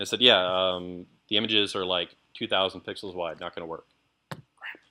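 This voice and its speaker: In a very deep, low pitch, a man speaks with monotone, flat intonation and big swings in loudness. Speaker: software developer presenter. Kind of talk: lecture. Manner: fast.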